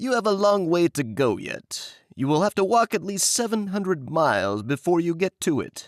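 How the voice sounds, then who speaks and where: Using a put-on character voice, a man speaks at a high pitch and a moderate pace with hardly any pauses. The recording is very clean, with a silent background. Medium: read story. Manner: kindly, advising.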